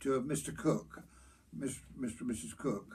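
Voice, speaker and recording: This man speaks with a rural Hertfordshire accent at a moderate pace. Vocal fry runs through his voice. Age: 80s+. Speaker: local elder recalling pub life. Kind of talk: oral history interview. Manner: halting with false starts.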